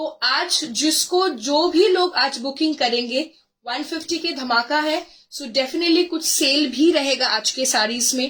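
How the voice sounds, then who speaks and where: Her voice is high in pitch with ordinary pitch variation. The woman speaks at a fairly slow pace. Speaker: online saree seller. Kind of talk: live sales stream. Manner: code-switching Hindi-English, hesitant fillers.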